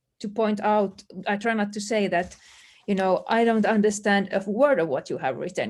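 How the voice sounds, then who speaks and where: Her voice sits at medium pitch, and the woman speaks with a Swedish accent. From Finland, Swedish-speaking community. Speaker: language teacher. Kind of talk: webinar panel discussion. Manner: halting, many fillers.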